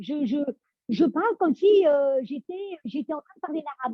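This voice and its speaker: Speaking with lively intonation, a woman keeps a moderate pace. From France. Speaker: voice coach. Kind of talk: interview. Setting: audio chat room.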